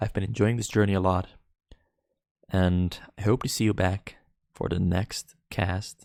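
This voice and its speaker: In a dry, close recording with no echo, a man with a fairly low pitch talks with long, frequent pauses. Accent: non-native. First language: not English. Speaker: esports caster. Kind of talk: live commentary. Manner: halting; animated.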